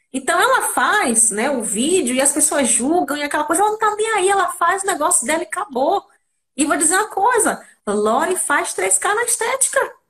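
A woman's extremely high voice at a moderate pace, very wide in pitch swings yet very even in loudness. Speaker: beauty therapist and podcast host. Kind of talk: casual chat. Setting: online live stream.

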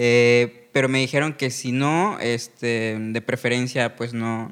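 A man speaks at a medium pitch with ordinary pitch variation and an unremarkable speaking voice. The recording is very clean, with a silent background. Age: 20s. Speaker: stand-up comedian. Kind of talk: casual chat.

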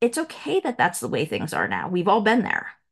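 Against a quiet background, a woman with vocal fry talks fairly quickly at a fairly high pitch. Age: 50s. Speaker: business consultant, former lawyer. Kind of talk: casual interview.

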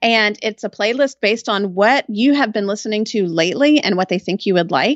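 A woman with a plain, everyday voice and fairly high pitch talks at a fairly quick pace with hardly any pauses and ordinary pitch variation. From Texas, Austin. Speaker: writer and podcaster. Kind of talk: casual chat.

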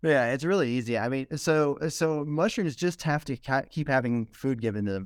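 With a Southern US accent, a man speaks in a fairly high voice with hardly any pauses, on a very clean recording with a silent background. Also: ordinary pitch variation. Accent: Southern drawl. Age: young. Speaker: mushroom farm founder. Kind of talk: casual interview. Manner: halting, many fillers.

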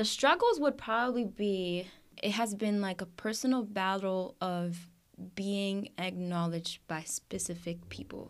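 In an ordinary speaking voice, a woman talks at a medium pitch. She goes at a fairly slow pace with ordinary pitch variation. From Puerto Rico, then various US states (military family). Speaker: college student, resident assistant. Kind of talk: casual interview. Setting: studio.

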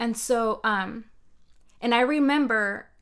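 In a plain, everyday voice, a woman speaks at a fairly high pitch with fairly even intonation, on a very clean recording with a silent background. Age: 30s. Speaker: life coach and podcast co-host. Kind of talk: casual chat.

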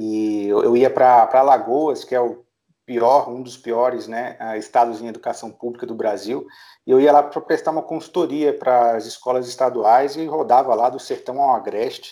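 In a very clean recording with a silent background, a man talks at a medium pitch with fairly even intonation and a dark, mellow tone. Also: big swings in loudness. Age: 30s. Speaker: startup founder and business director. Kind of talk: interview. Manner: hesitant, many filler sounds.

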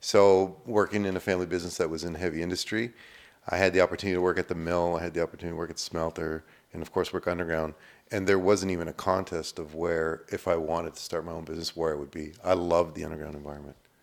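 A man with a Canadian accent, very deep, low pitch, monotone, flat intonation and a very fast pace, on a very clean recording with a silent background. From Canada, Sudbury, Ontario. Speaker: mining company president. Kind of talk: interview. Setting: on site at a company office.

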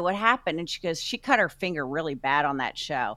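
A woman with an American accent, bright and sharp in tone, with lively intonation at a fairly quick pace. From New Jersey. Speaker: champion pitmaster. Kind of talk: casual chat.

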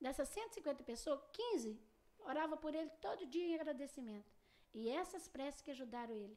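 A woman talks at a moderate pace in a dark, mellow tone. Her pitch is high, with very wide swings. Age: 50s. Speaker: spiritist practitioner. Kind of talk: casual interview. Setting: studio.

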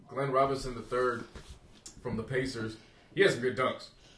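Medium-pitched speech from a man against noticeable background noise. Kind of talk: casual chat. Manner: loud.

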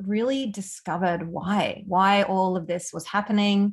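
A somewhat breathy woman talks with an Australian accent over a quiet background. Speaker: empowerment and mindset coach. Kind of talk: casual chat.

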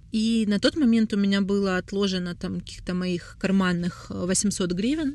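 Here is a normal speaking voice at a moderate pace with ordinary pitch variation. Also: woman. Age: 20s. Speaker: brand founder and creative director. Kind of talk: solo podcast monologue.

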